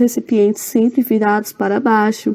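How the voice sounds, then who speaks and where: Here a woman speaks at a moderate pace in a dark, mellow tone. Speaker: student presenting a seminar. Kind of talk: recorded seminar presentation.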